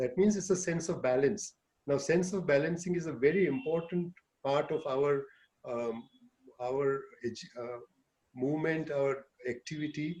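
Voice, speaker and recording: A man speaks at a moderate pace with a somewhat breathy voice. He leaves long, frequent pauses. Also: fairly high pitch for a man, ordinary pitch variation. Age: 60s. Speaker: urologist and cycling teacher. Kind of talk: online talk to seniors.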